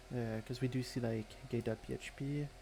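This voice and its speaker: A man with a non-native accent speaks at a medium pitch, somewhat breathy. His tone is dark and mellow, and his intonation monotone and flat. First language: not English. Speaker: malware reverse engineer streamer. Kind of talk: live-stream tutorial. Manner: halting, many filler words.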